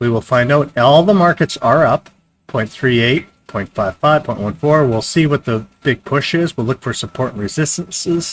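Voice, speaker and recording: Lively intonation marks a man's fairly high voice, recorded with a dry, close sound and no echo. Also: moderate pace. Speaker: day trading streamer. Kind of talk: live stream commentary. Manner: choppy, halting speech; casual, filler-heavy.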